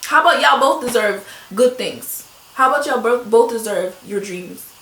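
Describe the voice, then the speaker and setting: A woman speaks at a fairly high pitch with ordinary pitch variation. Room echo is audible, and there is noticeable background noise. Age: 20s. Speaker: lifestyle vlogger. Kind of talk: motivational talk. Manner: fast; animated.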